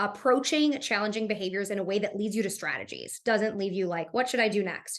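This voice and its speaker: At a fairly quick pace, a woman speaks with a medium pitch and fairly even intonation. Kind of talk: presentation. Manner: fast.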